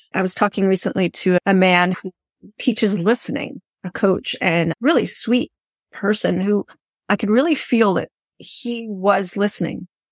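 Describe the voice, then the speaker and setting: A woman speaks in a plain, everyday voice at a medium pitch and moderate pace, with ordinary pitch variation. The sound is dry and close, with no echo. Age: 50s. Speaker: podcast host and fiction writing coach. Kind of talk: interview conversation.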